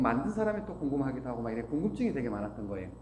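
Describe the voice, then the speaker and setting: This man's pitch swings very widely as he talks. The room echo is audible. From Korea, Gangwon (Taebaek), moved to Seoul at 12. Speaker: business owner giving a talk. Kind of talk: motivational talk.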